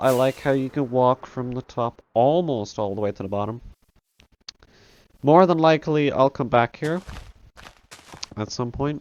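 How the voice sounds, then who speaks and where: A man puts on a strained character voice at a medium pitch. He keeps a moderate pace with long, frequent pauses. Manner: holding back a burp, slightly strained speech.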